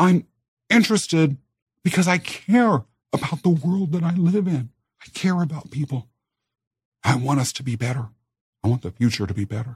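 A man speaks at a moderate pace in a fairly high, somewhat breathy voice with very wide pitch swings. The sound is dry and close with no echo, and his pauses are long and frequent. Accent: American. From Kansas, US. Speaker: podcast host. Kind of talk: scripted podcast intro and personal storytelling.

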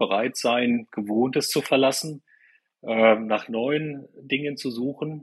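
Here a man talks at a fairly slow pace. His medium-pitched voice keeps fairly even intonation. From eastern Germany, Weimar. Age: 50s. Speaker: business consultant and coach. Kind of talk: podcast interview. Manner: hesitant, many fillers and repeated words.

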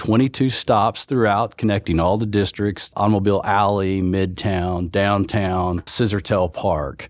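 A man's fairly low, fairly slow delivery with an American accent, fairly even intonation, very even loudness and hardly any pauses over a quiet background. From Oklahoma. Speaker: city transit administrator. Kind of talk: casual interview.

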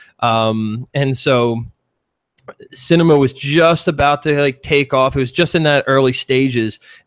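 Recorded with a dry, close sound, no echo, and a silent background on a very clean track, a man with a Philadelphia accent talks at a fairly slow pace in a fairly high pitch with fairly even intonation. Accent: Philly. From US Northeast, Philadelphia. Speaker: 3D artist and animation instructor. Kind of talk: casual interview chat.

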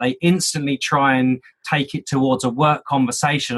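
A man speaks in a British accent. His pitch sits fairly high. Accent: British, UK. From UK. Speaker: sales trainer, speaker. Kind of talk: interview, casual chat. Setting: remote call.

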